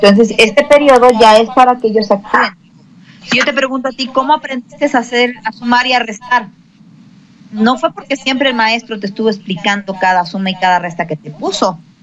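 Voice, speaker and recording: Against noticeable background noise, a woman talks at a fairly quick pace with a fairly high pitch and ordinary pitch variation. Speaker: schoolteacher. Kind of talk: interview. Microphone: cheap headphones, sound problems.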